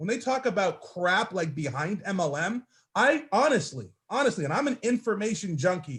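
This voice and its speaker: Loud and animated, a man talks at a moderate pace. His pitch is high, with very wide swings. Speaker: network marketing team leader. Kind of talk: motivational speech on a group call.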